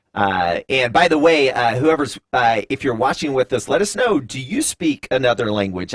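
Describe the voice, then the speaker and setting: A man talks with an American accent, the sound dry and close with no echo. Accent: Southern US drawl, comes out at times. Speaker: live stream host. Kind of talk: live interview. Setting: live stream studio. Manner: hesitant, many fillers.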